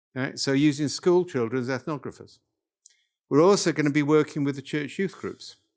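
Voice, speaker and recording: A man with a Welsh accent, fairly quick pace and ordinary pitch variation, on a very clean recording with a silent background. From North Wales. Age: 70s. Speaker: workshop leader, professor. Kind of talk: lecture. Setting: workshop with live audience.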